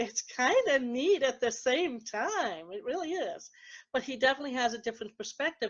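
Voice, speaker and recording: The speaker is a woman. She talks at a moderate pace with lively intonation. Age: 60s. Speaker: psychic medium and radio show host. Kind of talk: casual radio talk. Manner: hesitant, many fillers.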